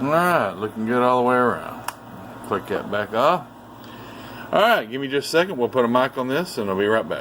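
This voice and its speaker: A man with a medium pitch and lively intonation talks at a fairly quick pace yet leaves long, frequent pauses, with noticeable background noise. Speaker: radio repair technician. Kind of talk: technical demonstration. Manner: fast.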